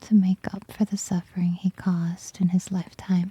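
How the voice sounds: A woman speaks slowly at a medium pitch, her dark, mellow tone carrying a husky, rough edge in a dry, close sound with no echo.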